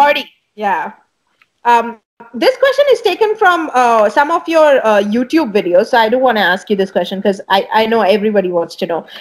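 A woman at a fairly high pitch and a fairly quick pace, with very wide pitch swings. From India. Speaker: bass player and talk show host; talk show host. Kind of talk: interview. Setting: video call. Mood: friendly, cheerful. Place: home room. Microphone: earbuds.

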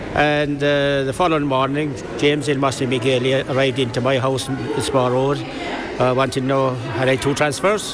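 Over noticeable background noise, a man talks at a moderate pace and medium pitch in a flat monotone, his loudness very even throughout. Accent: Kerry. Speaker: local football league secretary. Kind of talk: interview reminiscence. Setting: outdoor event recording.

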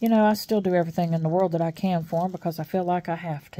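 A woman with an American accent speaks at a fairly low pitch, somewhat breathy, with light background noise. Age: 60s. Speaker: YouTuber; vlogger. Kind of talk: casual vlog chat. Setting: at home. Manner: chatty, with many fillers. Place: home room. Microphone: phone near.

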